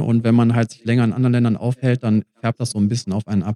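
A man speaks at medium pitch with a dark, mellow tone. The sound is dry and close, with no echo. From Germany, Mülheim. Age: 30s. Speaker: traveler. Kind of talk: casual chat. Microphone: poor audio from a recording setting error.

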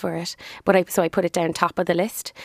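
A woman with a Cork accent speaks with fairly even intonation, the sound dry and close with no echo on a very clean recording with a silent background. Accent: Cork Irish. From Ireland. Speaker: business owner. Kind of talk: casual interview.

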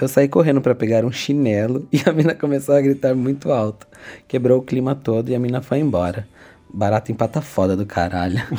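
A man's voice of medium pitch and dark, mellow tone, at a fairly quick pace. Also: ordinary pitch variation. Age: 30s. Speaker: podcast co-host. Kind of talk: casual chat.

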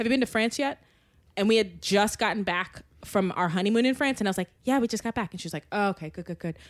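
In a very clean recording with a silent background, a woman with an American accent speaks at a very fast pace and medium pitch with ordinary pitch variation. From Maryland. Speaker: podcast guest. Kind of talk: casual chat. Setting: apartment.

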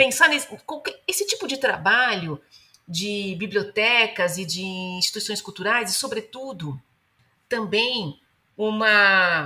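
A woman speaks at a medium pitch in a bright, sharp tone. Her intonation is lively. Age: 30s. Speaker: novelist. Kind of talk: interview.

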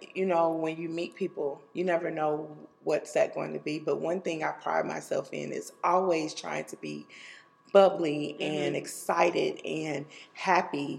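Noticeable background noise sits behind a woman talking at a fairly slow pace. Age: 40s. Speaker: educator. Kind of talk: casual interview. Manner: bubbly.

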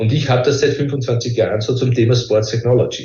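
The voice is somewhat breathy and moves at a fairly quick pace. Audible room echo fills the recording. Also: man. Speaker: professor. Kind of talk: interview.

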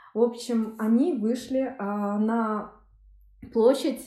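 Her voice sits fairly high for a woman and carries a dark, mellow tone. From Yakutia, Russia. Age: 30s. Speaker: law master's student, former journalist. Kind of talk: interview. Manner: hesitant, with filler sounds.

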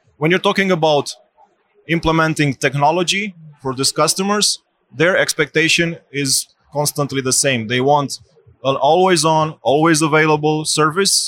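The speaker has a Romanian accent and a moderate pace. Pitch variation is ordinary, and the sound is dry and close with no echo. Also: man, fairly high pitch for a man. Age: 30s. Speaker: bank technology executive. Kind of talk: interview. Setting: tech conference.

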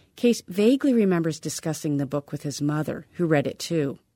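In a very clean recording with a silent background, a woman speaks at a fairly quick pace with a fairly low pitch, a dark, mellow tone and lively intonation. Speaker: radio reporter. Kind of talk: radio news feature narration. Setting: studio.

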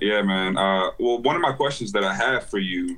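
A man in an American accent with a plain, everyday voice, fairly low pitch and moderate pace. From Alexandria, Virginia. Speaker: music producer calling in. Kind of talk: live Q&A call.

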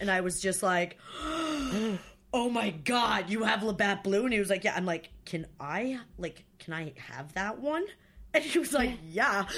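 A woman speaks with an American accent at a medium pitch, using lively intonation. She has a plain, everyday voice. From northern New York State. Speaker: podcast guest, producer friend. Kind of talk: casual chat. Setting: home recording, friends chatting.

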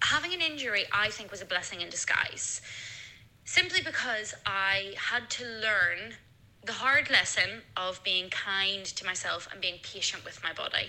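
An ordinary speaking voice from a woman, fairly high in pitch, with lively intonation and a fairly slow pace. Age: 30s. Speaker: musical theatre performer. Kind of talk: voicemail testimony.

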